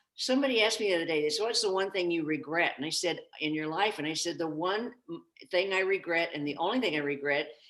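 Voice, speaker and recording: In an American accent, a woman talks at a very fast pace. Her pitch is fairly low and her intonation lively. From US Midwest, Kansas. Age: 80s+. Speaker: interview show host. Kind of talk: interview. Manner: animated.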